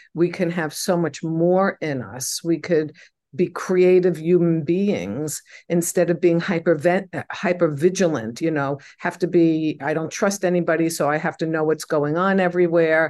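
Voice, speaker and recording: Over a quiet background, a woman with a plain, everyday voice speaks at a moderate pace, her fairly low pitch kept in fairly even intonation. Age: 60s. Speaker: mental health counselor and spiritual healing teacher. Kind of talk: interview conversation.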